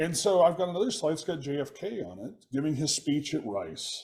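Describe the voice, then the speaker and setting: An American-accented man's somewhat breathy voice, fairly high in pitch, with lively intonation and a moderate pace. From Texas. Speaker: software developer and podcast co-host. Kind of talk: casual chat.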